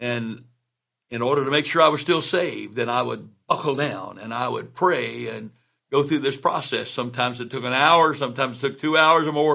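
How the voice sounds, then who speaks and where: A man talks at a fairly quick pace with vocal fry. His pitch is medium, with ordinary variation. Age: 70s. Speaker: bishop and bible teacher. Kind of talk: personal testimony; religious teaching. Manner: conversational with hesitations.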